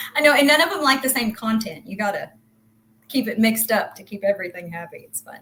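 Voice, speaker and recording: A woman with a Southern US accent talks at a very fast pace in a fairly high pitch, her intonation lively and her loudness swinging widely. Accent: American country. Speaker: crypto project team member. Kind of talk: casual interview.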